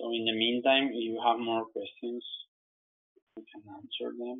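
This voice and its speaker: The man talks with a non-native accent. His loudness swings widely. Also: moderate pace. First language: not English. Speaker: software trainer. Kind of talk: webinar tutorial. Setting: online webinar. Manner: halting, repeats words.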